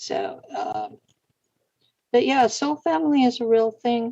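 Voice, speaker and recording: A woman speaks fairly slowly in a fairly high pitch, her tone dark and mellow. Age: 60s. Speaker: internet radio host. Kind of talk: casual chat.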